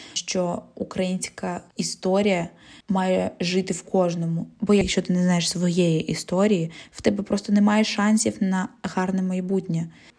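With a Russian accent, a woman speaks at a fairly slow pace and medium pitch. Her dark, mellow tone is somewhat breathy, and her intonation stays fairly even. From Zaporizhzhia, south-eastern Ukraine. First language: Russian (speaking Ukrainian). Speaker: podcast host. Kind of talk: solo podcast monologue.

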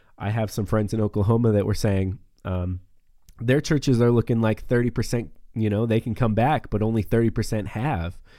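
Fairly quick speech in an ordinary speaking voice, with ordinary pitch variation, comes across on a very clean recording with a silent background. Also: man, medium pitch for a man. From northeast Montana. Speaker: podcast host and preacher. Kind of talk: casual chat. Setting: studio.

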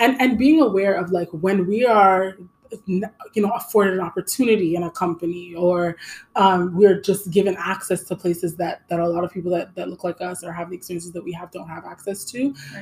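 In a Canadian accent, a woman talks at a medium pitch with ordinary pitch variation. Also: fairly quick pace, big swings in loudness. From Canada. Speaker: podcast co-host. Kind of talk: casual chat.

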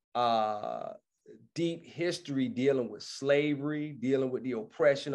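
Against a quiet background, a man with a Savannah accent speaks at a fairly slow pace. His pitch is fairly high, with ordinary pitch variation. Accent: Savannah Southern drawl, elongated speech. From Savannah, Georgia (US South). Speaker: hip hop artist. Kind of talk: interview. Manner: casual, conversational.

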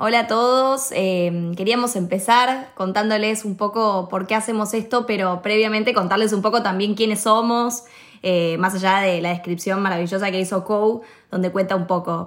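This woman has a medium-pitched, unremarkable speaking voice. She moves at a moderate pace with ordinary pitch variation. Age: 20s. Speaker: actress and podcast host. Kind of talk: casual chat.

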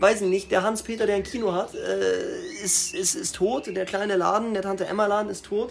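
Speech proceeds at a moderate speed. There is noticeable noise in the background. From Bavaria, Starnberg. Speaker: podcast host, actor. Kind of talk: casual chat.

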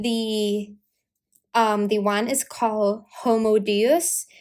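This woman has an American accent. Her pitch is fairly high. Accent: mostly American with some British. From Asia, half British. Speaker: university student podcaster. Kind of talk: casual solo podcast monologue. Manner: chatty, laughs often.

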